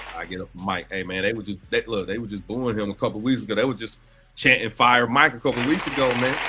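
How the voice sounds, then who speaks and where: At a very fast pace, a man talks at medium pitch with ordinary pitch variation and big swings in loudness over noticeable background noise. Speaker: sports podcast co-host. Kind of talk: casual sports chat.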